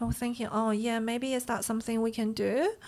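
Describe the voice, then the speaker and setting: Speaking at a moderate pace, a woman with a Chinese accent has a fairly high voice. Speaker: bakery owner. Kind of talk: casual interview.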